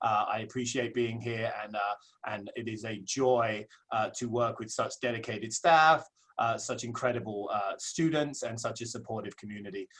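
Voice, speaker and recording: A man with an English accent talks at medium pitch. His pace is moderate and his intonation fairly even. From southeast England. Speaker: associate principal. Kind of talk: webinar presentation. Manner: hesitant with many fillers.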